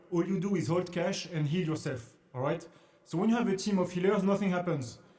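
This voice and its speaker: A man's dark, mellow voice at a high pitch, with a French accent, ordinary pitch variation and a fairly quick pace. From France, Paris. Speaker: investing educator, former trader. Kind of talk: casual tutorial. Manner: halting, repetitive.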